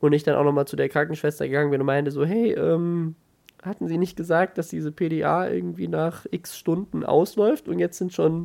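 In a very clean recording with a silent background, a man with a fairly high pitch talks at a moderate pace in a plain, everyday voice. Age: 20s. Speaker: YouTuber and podcaster, new father. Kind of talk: casual chat. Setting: at home.

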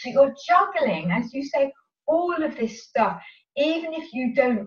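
A woman whispering? No: a woman's voice, high in pitch, at a fairly slow pace. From southern England, Sevenoaks, Kent. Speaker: running coach. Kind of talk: interview.

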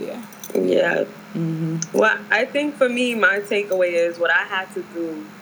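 Noticeable background noise sits behind a fairly slow voice with an American accent and ordinary pitch variation. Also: woman, medium pitch for a woman. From New York, Harlem. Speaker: school counselor. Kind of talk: casual chat.

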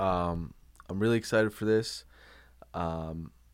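A man is speaking with ordinary pitch variation. The recording is very clean, with a silent background. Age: 30s. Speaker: wrestling podcast host. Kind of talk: casual chat.

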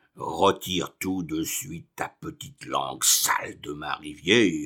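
A man puts on a booming, raspy character voice, very deep and low, at a fairly slow pace. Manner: shouting, angry.

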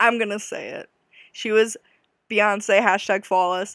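The recording is very clean, with a silent background. A woman talks in an unremarkable speaking voice of medium pitch with fairly even intonation. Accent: American. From US Midwest. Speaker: podcast host. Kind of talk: casual solo podcast monologue. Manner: chatty, laughing often.

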